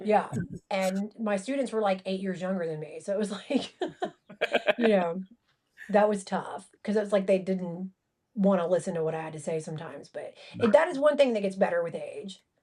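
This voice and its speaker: With a Southern US accent and a dark, mellow tone, a woman talks at a fairly quick pace, with ordinary pitch variation, big swings in loudness, and long, frequent pauses. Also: medium pitch for a woman. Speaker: college professor and author. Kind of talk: casual chat.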